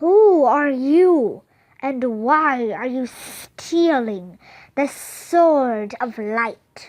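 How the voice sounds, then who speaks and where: A woman's put-on character voice, high-pitched and very slow, over a quiet background. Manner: booming.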